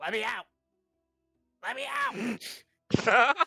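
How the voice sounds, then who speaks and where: A shrill, fairly high put-on character voice. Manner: frantic, pleading.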